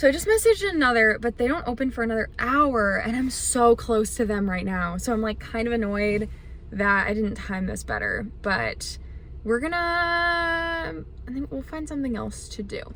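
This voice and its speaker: Audible room echo surrounds a woman who speaks at a moderate pace. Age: 20s. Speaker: vlogger. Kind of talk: casual vlog chat. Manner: animated.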